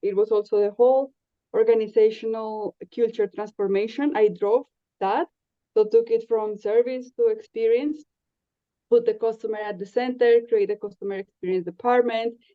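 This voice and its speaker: With a Spanish accent, a woman speaks at a moderate pace in a fairly high pitch. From Colombia. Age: 30s. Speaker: podcast guest. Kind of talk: casual interview chat. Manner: hesitant, with frequent fillers.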